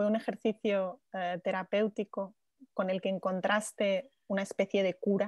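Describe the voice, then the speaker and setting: A woman's medium-pitched voice comes through in a dry, close sound with no echo against a quiet background. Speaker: journalist moderator. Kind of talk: interview. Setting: video call. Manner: halting.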